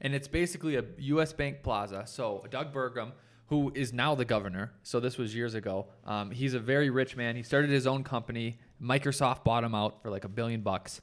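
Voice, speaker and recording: Recorded very cleanly against a silent background, a man with an American accent and an ordinary speaking voice talks at a medium pitch and a fairly quick pace, with ordinary pitch variation and hardly any pauses. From Minnesota. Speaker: architect and podcast co-host. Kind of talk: casual chat.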